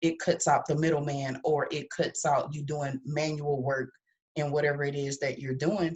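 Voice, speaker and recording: A woman's very deep, low-pitched, somewhat breathy voice at a moderate pace, with fairly even intonation. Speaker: business coach. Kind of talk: motivational talk.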